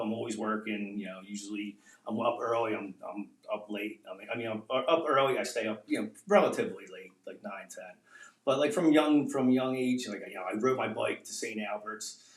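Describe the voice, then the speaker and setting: A man with a medium pitch speaks at a fairly quick pace, using ordinary pitch variation and big swings in loudness over noticeable background noise. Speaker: realtor and investor. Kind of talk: casual podcast interview. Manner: fast.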